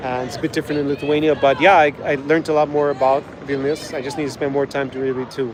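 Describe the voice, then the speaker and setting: A man's very fast, flat monotone at a fairly high pitch over noticeable background noise. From Ireland. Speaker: travel vlogger. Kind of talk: live stream chat reading viewer questions. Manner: casual, with fillers and repetitions.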